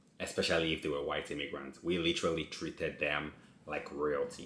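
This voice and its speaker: A man speaks over noticeable background noise. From Nigeria. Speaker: reaction video creator. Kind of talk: casual commentary to camera.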